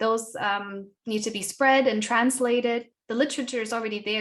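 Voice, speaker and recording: Fairly high in pitch, a woman speaks with a German accent at a moderate pace. Her intonation is fairly even, and the background is quiet. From Germany. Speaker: activist and writer. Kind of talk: interview. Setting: conference. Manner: halting, many fillers and repeats.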